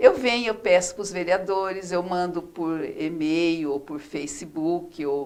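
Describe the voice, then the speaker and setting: Fairly slow speech from a woman at medium pitch. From Brazil, São Paulo state interior. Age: 60s. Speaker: former city councillor. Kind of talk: interview. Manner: halting, many fillers.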